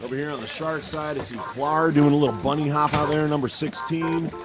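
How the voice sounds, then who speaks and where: Music plays in the background, and audible room echo surrounds the voice. A man speaks at a moderate pace in a fairly high pitch. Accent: American. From US Midwest, Cleveland. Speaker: hockey announcer and voice actor. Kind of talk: live commentary; casual chat. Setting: ice rink. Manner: high energy, animated; pitched high, above normal range.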